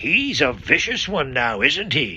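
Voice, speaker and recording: Using a put-on character voice, a man talks fairly slowly at a fairly high pitch. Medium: read story. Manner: gruff, colloquial.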